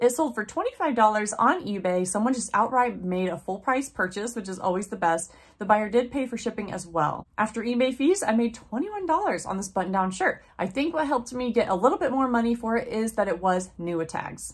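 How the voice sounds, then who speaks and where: A woman talks at a fairly quick pace with hardly any pauses. Her intonation is lively. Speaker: online reseller. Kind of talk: casual vlog chat. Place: home room.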